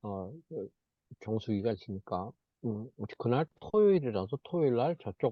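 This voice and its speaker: This man has a medium pitch and lively intonation, talking at a fairly slow pace. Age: 60s. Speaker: network marketing group leader. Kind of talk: online group meeting talk. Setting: video call. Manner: hesitant, with many fillers.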